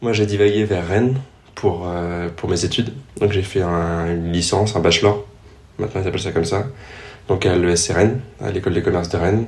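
There is audible room echo as a man with a very deep, low pitch speaks at a moderate pace with fairly even intonation and long, frequent pauses. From Paris region, Yvelines. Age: 20s. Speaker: triathlete and business student. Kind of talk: interview. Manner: hesitant, many fillers.

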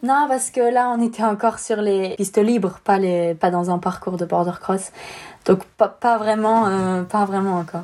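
At a fairly slow pace, a woman with a medium pitch talks in an ordinary speaking voice. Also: ordinary pitch variation. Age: 20s. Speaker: professional snowboarder. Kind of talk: interview.

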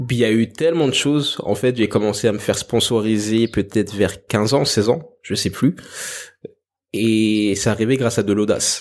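On a very clean recording with a silent background, a man with a normal speaking voice talks at a moderate pace, with medium pitch and ordinary pitch variation. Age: 20s. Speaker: musician and dancer. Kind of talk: interview conversation.

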